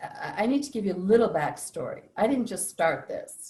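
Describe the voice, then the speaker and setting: At a moderate pace, a woman is speaking. Her voice sounds somewhat breathy. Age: 70s. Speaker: psychologist and inner work facilitator. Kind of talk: interview.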